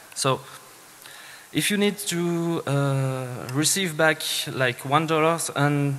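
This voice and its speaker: With a Swiss French accent, a man speaks at a fairly high pitch with fairly even intonation amid noticeable background noise. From Switzerland (French-speaking). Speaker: security engineer, conference speaker. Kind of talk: conference talk. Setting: stage with audience. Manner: hesitant, many fillers.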